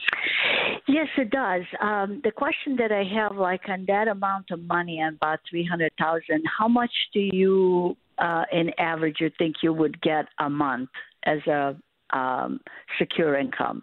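At a fairly slow pace, a woman speaks in a plain, everyday voice. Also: fairly low pitch for a woman. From US Midwest. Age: 60s. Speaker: caller. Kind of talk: call-in question. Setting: phone call.

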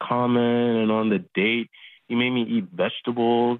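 At a moderate pace, a man speaks in a plain, everyday voice at a medium pitch. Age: 20s. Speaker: radio show caller. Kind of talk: phone call conversation. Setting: phone call.

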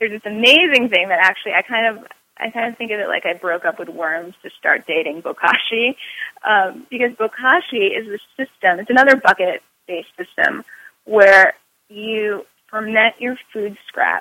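A woman with an American accent, fairly high pitch, ordinary pitch variation, big swings in loudness and a moderate pace. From New York. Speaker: author and master composter. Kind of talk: interview. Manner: animated.

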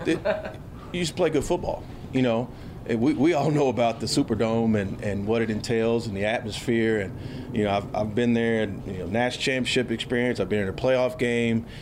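A man with an American accent at medium pitch, fairly quick pace and ordinary pitch variation, with audible room echo and noticeable background noise. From Houston, Texas. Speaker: football coach. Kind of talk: press conference Q&A. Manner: halting, many fillers and repeated words.

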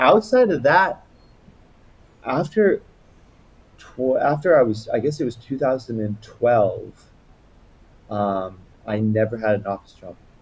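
A man with an American accent speaks very slowly at a medium pitch, his voice swinging very widely up and down. Long pauses come often, and his loudness rises and falls a lot. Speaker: misophonia sufferer, landscape designer. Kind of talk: casual interview chat. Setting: remote call.

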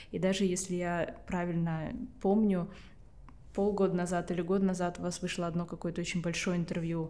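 The voice has a dark, mellow tone and flat, monotone intonation, moving at a moderate pace with long, frequent pauses and audible room echo. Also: woman, fairly low pitch for a woman. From Estonia. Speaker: podcast host. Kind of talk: interview conversation.

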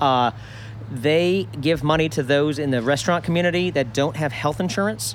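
Noticeable background noise sits behind a man with a fairly high pitch. He talks at a moderate pace with ordinary pitch variation. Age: 50s. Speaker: restaurant owner. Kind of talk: casual chat.

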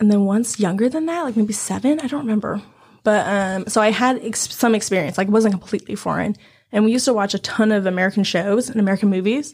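Somewhat breathy, the voice races along at a very fast pace with ordinary pitch variation. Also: woman, fairly high pitch for a woman. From China. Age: 20s. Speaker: teacher. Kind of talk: casual chat.

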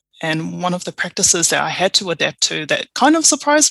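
A woman with a New Zealand accent speaks at a fairly low pitch with lively intonation, in a dry, close sound with no echo. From New Zealand, Tongan parents. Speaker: procurement advisor. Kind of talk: interview conversation.

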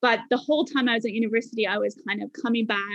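A woman speaks at a fairly high pitch. Her pace is fairly quick. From Bermuda. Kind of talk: casual interview chat.

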